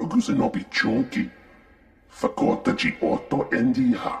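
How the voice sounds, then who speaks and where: Using a put-on character voice at an extremely high pitch, a man speaks at a moderate pace. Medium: video game. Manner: speaks unintelligible alien language.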